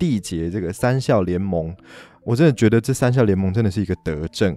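A very clean recording of a man with a dark, mellow tone, the background silent. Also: dry, close sound with no echo. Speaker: podcast host. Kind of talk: solo podcast talk. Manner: animated.

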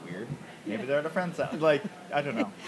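Noticeable background noise runs under the recording. A man talks with lively intonation at a fairly high pitch. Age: 30s. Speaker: podcast host and former mechanical engineer. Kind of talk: casual interview chat; podcast intro monologue. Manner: hesitant with many fillers.

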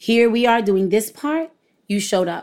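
A woman speaks at a moderate pace with a New York accent. The recording is very clean, with a silent background. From Brooklyn, New York. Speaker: former educator and parent. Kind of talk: interview conversation.

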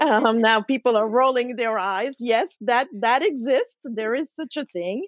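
A woman's high-pitched voice with a slight French accent, ordinary pitch variation, a fairly slow pace, hardly any pauses, and a dry, close sound with no echo. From Switzerland. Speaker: food author. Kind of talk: interview.

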